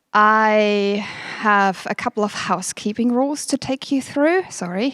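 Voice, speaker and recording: A fairly high-pitched woman's voice with a German accent. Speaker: company manager, event host. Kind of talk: workshop opening speech. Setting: stage with audience, livestreamed.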